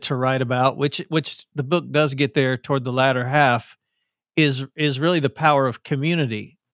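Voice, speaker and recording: With a Southern US accent, a man talks at a moderate pace in a very clean recording with a silent background and a dry, close sound with no echo. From US South. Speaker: author. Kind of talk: podcast interview.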